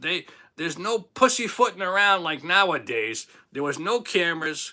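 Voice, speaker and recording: A man with a Boston accent talks at a moderate pace in a high, bright, sharp voice. His tone is animated and his intonation lively. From Boston, Massachusetts. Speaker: livestream host. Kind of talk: casual livestream chat. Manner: loud.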